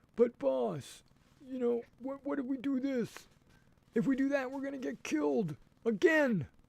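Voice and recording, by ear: A man puts on a character voice with an extremely high pitch and a whiny tone. He keeps a moderate pace.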